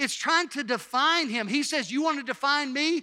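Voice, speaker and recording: A man with a Mississippi accent speaks in a raised, projected voice at an extremely high pitch with a bright, sharp tone. The recording is very clean, with a silent background. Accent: US Southern (Mississippi). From Mississippi, Hattiesburg. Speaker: pastor. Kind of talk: sermon. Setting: church.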